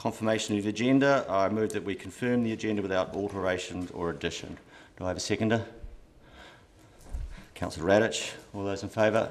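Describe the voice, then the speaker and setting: At a fairly quick pace, a man talks in a plain, everyday voice with a fairly low pitch and ordinary pitch variation. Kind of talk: meeting chairing, formal procedure. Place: meeting room. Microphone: podium.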